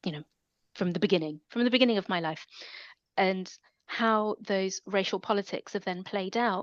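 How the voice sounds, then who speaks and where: Speaking with a London accent at a moderate pace, a woman uses a medium pitch and ordinary pitch variation, the sound dry and close with no echo over a quiet background. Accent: London accent, noted by self. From London, England. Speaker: academic. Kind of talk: interview.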